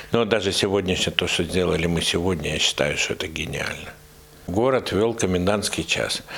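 Very deep, low male speech at a moderate pace, ordinary pitch variation, noticeable background noise behind it. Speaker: Red Cross rescue team commander. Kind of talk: monologue interview.

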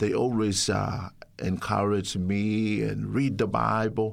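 A man speaks with a Samoan accent. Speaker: pastor. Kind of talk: testimony. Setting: studio. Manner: halting.

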